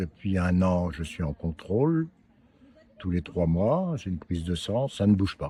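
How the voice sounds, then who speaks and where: A man's very deep, low voice, somewhat breathy and dark and mellow in tone, with ordinary pitch variation and a fairly slow pace. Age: 70s. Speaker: prostate cancer survivor. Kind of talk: interview.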